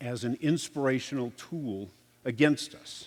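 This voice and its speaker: An ordinary speaking voice from a man, medium in pitch with ordinary pitch variation. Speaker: security consultant and former police officer. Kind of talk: conference presentation. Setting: stage with audience.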